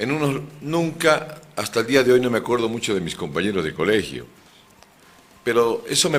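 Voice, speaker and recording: A man talks at a moderate pace with vocal fry. His pitch sits in the medium range and swings very widely. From Bolivia, moved around mining regions. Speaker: lawyer and political candidate. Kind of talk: radio interview.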